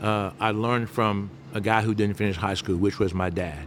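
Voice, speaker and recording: A fairly low-pitched man with a Southern US accent, a moderate pace and ordinary pitch variation. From US South, Mobile, Alabama. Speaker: restaurant owner. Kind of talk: interview.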